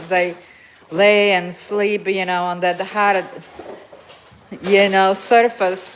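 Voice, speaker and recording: Talking at a very slow pace, a woman speaks with a Slovak accent. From Slovakia. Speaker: dog owner livestreamer. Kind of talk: casual livestream chat. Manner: halting.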